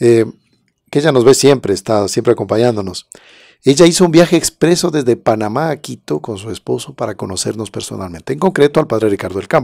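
A man's dark, mellow tone with vocal fry, very wide pitch swings and a fairly quick pace, dry and with no echo. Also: quiet background. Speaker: presenter. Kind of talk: livestream talk with testimonies and prayer. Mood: warm, devotional. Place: studio. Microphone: studio mic.

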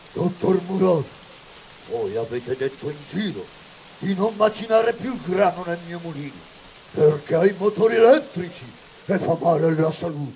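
Over clear background noise, a man with a high voice speaks at a moderate pace with lively intonation, long frequent pauses, and big swings in loudness. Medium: read story. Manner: defiant, accusing, grimly resolute.

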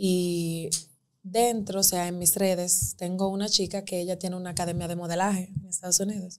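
With monotone, flat intonation, a woman talks at a moderate pace over a quiet background. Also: medium pitch for a woman. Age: 20s. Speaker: lawyer and image consultant; lawyer. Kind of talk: interview. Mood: emotional personal storytelling. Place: studio. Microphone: studio mic.

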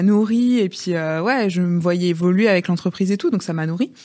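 The background stays quiet as a woman speaks fairly quickly. Her pitch shifts in an ordinary way. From Rennes, Brittany, France; Brittany, France. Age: 30s. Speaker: entrepreneur, former nurse; podcast guest. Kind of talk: interview conversation. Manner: hesitant, many fillers. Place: studio. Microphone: studio mic.

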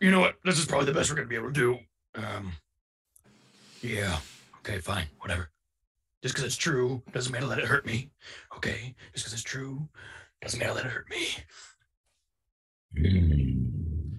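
Putting on a character voice, a man speaks at a moderate pace and medium pitch, with very wide pitch swings and long, frequent pauses. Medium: actual play. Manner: gruff, exasperated, resigned.

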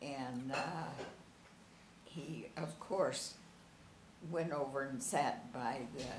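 A woman with a very deep, low pitch speaks at a very slow pace, leaving long, frequent pauses. Audible room echo and light background noise surround her voice. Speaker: interviewee recalling family memories; interviewee. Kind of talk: oral history interview. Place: home room. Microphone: camera far.

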